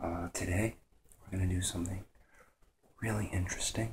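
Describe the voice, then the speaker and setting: Soft-spoken and whispering, a man talks with vocal fry. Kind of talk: ASMR show-and-tell talk, half whispered half soft spoken. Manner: soft-spoken, half whispered.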